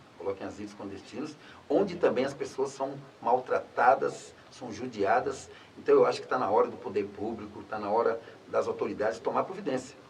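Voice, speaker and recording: Noticeable background noise sits beneath speech at a fairly quick pace. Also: man, big swings in loudness. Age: 60s. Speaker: former public official. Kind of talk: interview.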